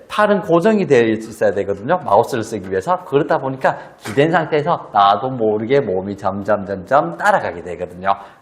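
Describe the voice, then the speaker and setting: Over noticeable background noise, a man at a medium pitch talks at a fairly quick pace with hardly any pauses, his pitch swinging very widely. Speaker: spine health educator. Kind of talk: tutorial.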